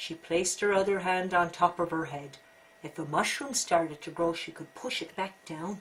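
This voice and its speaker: Against noticeable background noise, a woman with a fairly low pitch and ordinary pitch variation talks at a moderate pace, her loudness swinging widely. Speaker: storyteller. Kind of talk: children's story read-aloud.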